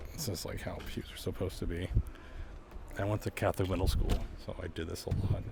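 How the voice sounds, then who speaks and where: Over audible room echo, a man with an American accent speaks at a very fast pace. He leaves long, frequent pauses. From Lowell, Massachusetts. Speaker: street interviewer and tour guide. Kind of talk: casual walking tour vlog. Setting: outdoor street festival and church. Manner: casual, filler-heavy.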